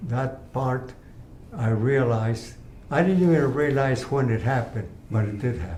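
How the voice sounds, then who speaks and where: A man with a medium pitch speaks at a fairly slow pace, leaving long, frequent pauses. His intonation is lively, and there is audible room echo. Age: 80s+. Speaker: cancer patient. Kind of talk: testimony. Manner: halting.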